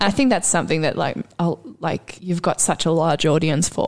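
Using vocal fry, a woman with an Australian accent talks at a fairly quick pace and a fairly low pitch. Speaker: podcast host and clown performer. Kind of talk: casual chat. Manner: animated.

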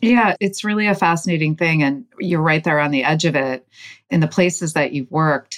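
A woman with a normal speaking voice talks at a fairly quick pace in very even loudness. Her pitch is fairly low, with ordinary variation. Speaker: company co-founder interviewer. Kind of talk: casual interview chat. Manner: warm, upbeat, laughs often.

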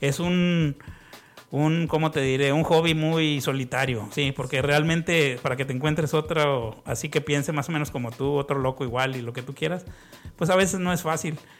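In an unremarkable speaking voice, a man of fairly high pitch talks at a moderate pace with fairly even intonation. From Mexico, Tamaulipas (Ciudad Victoria). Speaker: music collector, record enthusiast. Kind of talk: casual chat.

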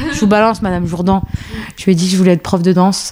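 With a normal speaking voice, a woman talks in a fairly low pitch and fairly even intonation. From France, Paris banlieue. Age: 30s. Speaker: choreographer and dance teacher. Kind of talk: casual chat.

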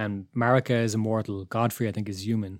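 A man with an Irish accent and a fairly low pitch talks at a fairly quick pace with fairly even intonation on a very clean recording with a silent background. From Ireland. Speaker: illustrator and podcast co-host. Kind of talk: casual chat.

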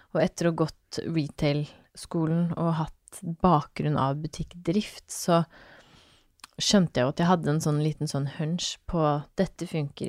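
A woman's very deep, low pitch on a very clean recording over a silent background. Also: dry, close sound with no echo. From Norway, Fredrikstad (Østfold). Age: 30s. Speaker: fashion entrepreneur and mother. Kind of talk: casual interview chat. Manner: animated.

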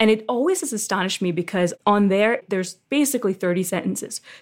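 This woman has an unremarkable speaking voice and an American accent. She talks at a fairly quick pace at a medium pitch. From Philadelphia, US. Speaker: immigration legal services director. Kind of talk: interview. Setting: video call.

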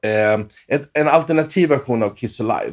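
A normal speaking voice from a man, medium in pitch with ordinary pitch variation, at a fairly slow pace on a very clean recording with a silent background. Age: 40s. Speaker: session guitarist. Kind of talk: casual interview.

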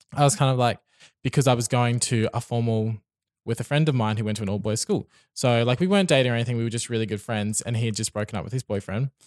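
A very fast, medium-pitched male voice in an Australian accent, with ordinary pitch variation, recorded very cleanly over a silent background with a dry, close sound and no echo. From Brisbane, Australia. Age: young. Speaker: podcast guest. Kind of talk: casual interview. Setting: studio.

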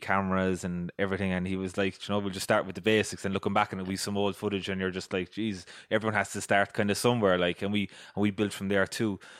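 A man talks at a very fast pace in a Cork accent. The recording is very clean, with a silent background. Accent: Irish (Cork). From Ireland, County Cork. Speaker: podcast host. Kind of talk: scripted narration; casual interview chat.

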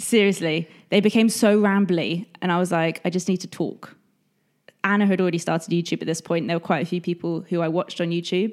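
A woman with an English accent talks very fast in a fairly low voice, her intonation fairly even, on a very clean recording with a silent background. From England. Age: 30s. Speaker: blogger and YouTuber. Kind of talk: casual chat. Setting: in person at a kitchen table.

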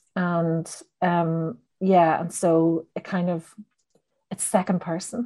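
A woman's dark, mellow, fairly low voice in a Northern Irish accent, very slow, with fairly even intonation and long, frequent pauses. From Northern Ireland. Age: 40s. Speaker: novelist. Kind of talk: casual interview chat.

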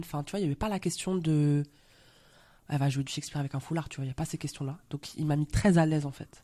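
A woman speaks in a dark, mellow tone with a very deep, low pitch. Her intonation stays monotone and flat over a very clean recording with a silent background. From Belgium. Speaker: actress. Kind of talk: casual interview. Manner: hesitant, many fillers.

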